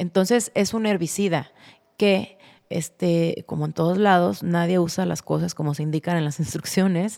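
A woman speaks with a Mexican accent at a moderate pace. Her fairly low voice has a dark, mellow tone and ordinary pitch variation. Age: 40s. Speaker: pet food entrepreneur. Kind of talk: casual interview chat.

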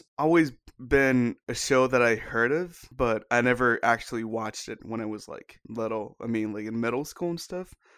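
A man at medium pitch and moderate pace, lively intonation, big swings in loudness, hardly any pauses, on a very clean recording with a silent background. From Japan, Tokyo (Hachioji); moved to Hawaii after seventh grade. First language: Japanese. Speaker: reality TV cast member and musician. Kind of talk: casual chat.

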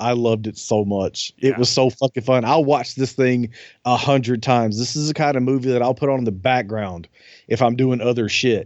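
A man speaks at a medium pitch and a moderate pace. He has a Southern US accent and fairly even intonation. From US South. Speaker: podcast host. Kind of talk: casual chat.

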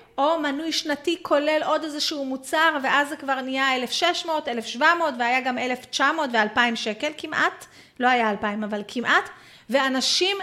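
Projected and raised, a woman's high-pitched voice comes across animated, bright and sharp, with lively intonation at a fairly slow pace. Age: 40s. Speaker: Facebook marketing coach. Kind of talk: online webinar lesson.

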